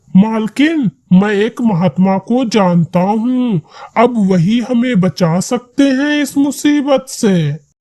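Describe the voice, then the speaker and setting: A man's cartoonish character voice, high-pitched. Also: fairly slow pace. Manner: deferential.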